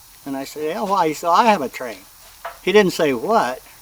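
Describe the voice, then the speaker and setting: Lively in intonation and fairly high in pitch, a man with an American accent speaks over noticeable background noise. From US Pacific Northwest, Seattle. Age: 70s. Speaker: mechanic and model train hobbyist. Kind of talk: interview testimony, casual storytelling.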